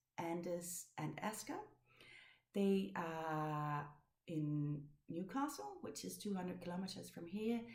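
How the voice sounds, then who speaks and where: Speaking with a Danish accent, a woman with a fairly low pitch and lively intonation is heard with audible room echo. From Denmark. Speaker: knitting podcaster. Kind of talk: casual chat. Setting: home. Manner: halting.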